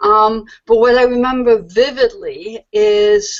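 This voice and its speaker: A woman speaks with a French accent. Her pitch varies in an ordinary way. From France, Paris. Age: 50s. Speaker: comics editor and publisher. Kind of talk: interview.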